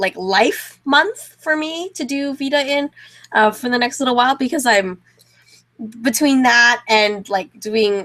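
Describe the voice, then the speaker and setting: An animated, bright and sharp voice with lively intonation and a Canadian accent. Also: woman. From Canada. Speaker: co-host of a fan show. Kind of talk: casual chat. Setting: video call.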